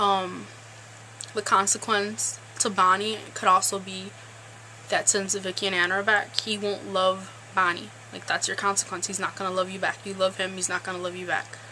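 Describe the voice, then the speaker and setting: Amid noticeable background noise, a woman speaks at a medium pitch and a moderate pace. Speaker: TV show recap vlogger. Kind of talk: casual vlog recap.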